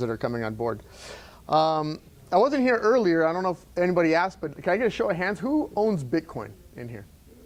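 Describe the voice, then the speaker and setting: The pace here is fairly quick. It belongs to a man. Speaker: entrepreneur speaker. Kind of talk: talk to live audience. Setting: event room with audience. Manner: halting with many fillers.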